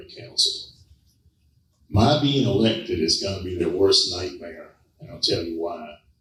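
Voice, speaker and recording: Audible room echo surrounds a man with an American accent who speaks at a moderate pace. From US South, Savannah, Georgia. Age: 70s. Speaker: political candidate. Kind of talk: campaign speech. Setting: public forum with audience. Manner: forceful.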